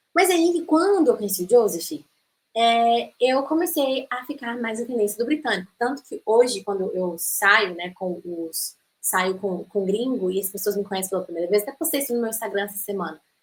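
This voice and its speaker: In a Brazilian accent, a woman speaks at a fairly high pitch and moderate pace. Her tone is animated, with very wide pitch swings. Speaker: English teacher. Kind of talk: online masterclass lecture.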